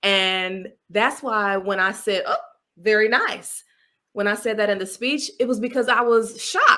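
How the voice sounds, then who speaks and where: In a very clean recording with a silent background, a woman with an unremarkable speaking voice talks at a fairly slow pace, her fairly high pitch showing ordinary variation. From US Midwest, Cleveland, Ohio. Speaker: public speaking champion. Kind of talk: interview.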